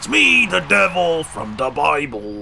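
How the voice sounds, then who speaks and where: Over clear music in the background, a man puts on a character voice at a medium pitch and a fairly slow pace. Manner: put-on, exaggerated.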